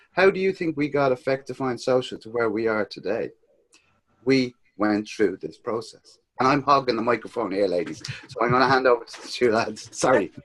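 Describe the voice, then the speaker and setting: A man in a Dublin accent talks at a fairly quick pace, his loudness swinging widely. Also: medium pitch for a man, lively intonation. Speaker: social media business co-founder. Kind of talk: casual chat. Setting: video call.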